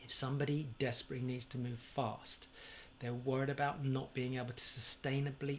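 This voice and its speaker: A man of medium pitch speaks with a somewhat breathy voice and monotone, flat intonation. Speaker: property investment educator. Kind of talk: direct-to-camera advice video. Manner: slow.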